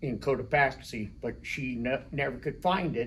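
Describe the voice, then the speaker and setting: In an American accent, a man with a medium pitch speaks at a very slow pace. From Colorado. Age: 60s. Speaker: rock shop owner. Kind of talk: casual interview.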